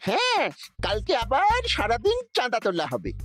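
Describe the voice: A man puts on a cartoonish character voice. His pace is fairly slow.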